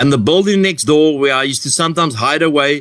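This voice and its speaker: Loud and fairly high-pitched, a man talks at a fairly quick pace. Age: 50s. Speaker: addiction recovery organization founder. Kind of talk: recovery testimony. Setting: live online share. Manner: repetitive, halting.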